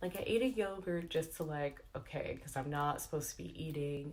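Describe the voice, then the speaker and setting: A woman's very deep, low voice, somewhat breathy, at a fairly quick pace. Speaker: beauty and lifestyle vlogger. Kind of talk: casual vlog update. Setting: at home. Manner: chatty, fillers like um and like.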